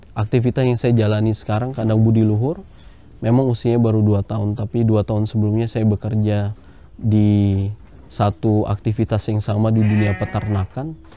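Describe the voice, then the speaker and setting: In a flat monotone, a man with a fairly low pitch and a dark, mellow tone talks at a fairly quick pace with very even loudness. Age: 20s. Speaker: livestock farmer. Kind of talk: interview testimony.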